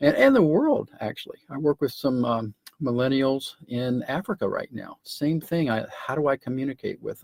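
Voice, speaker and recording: A man speaks at a moderate pace with hardly any pauses. His loudness swings widely, and the sound is dry and close with no echo. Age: 60s. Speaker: entrepreneur. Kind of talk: casual chat.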